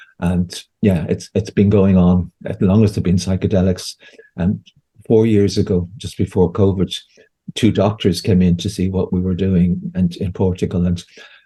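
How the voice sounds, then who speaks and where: A somewhat breathy voice with an Irish accent carries a dark, mellow tone. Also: man, very deep, low pitch for a man, fairly even intonation, moderate pace. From Ireland. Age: 60s. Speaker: homeopath and therapist. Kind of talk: interview conversation. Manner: halting, with frequent repetitions.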